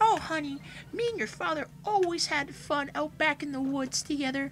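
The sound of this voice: A female-sounding voice puts on a high-pitched character voice. Background noise can be clearly heard. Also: moderate pace.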